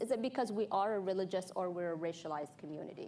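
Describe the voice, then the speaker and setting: A woman speaks at a medium pitch and a fairly quick pace, with ordinary pitch variation. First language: not English. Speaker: panel moderator. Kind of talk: panel introduction. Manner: halting, with self-corrections.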